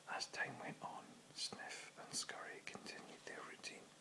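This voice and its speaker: Through noticeable background noise, a whisper proceeds at a fairly slow pace. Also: man. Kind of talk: audiobook-style reading of a short book, whispered. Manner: whispered.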